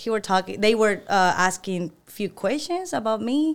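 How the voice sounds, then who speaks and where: Recorded very cleanly against a silent background, a woman with a Venezuelan accent speaks at a fairly slow pace and a fairly high pitch. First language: Spanish. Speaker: employee of the month, former insurance agent. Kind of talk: casual interview.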